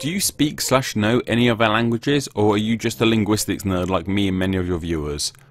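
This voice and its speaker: Talking at a fairly quick pace with hardly any pauses, a man with a Southeast English accent has a fairly low pitch. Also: ordinary pitch variation. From Southeast England. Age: young. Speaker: educational YouTuber. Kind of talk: Q&A video narration. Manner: casual.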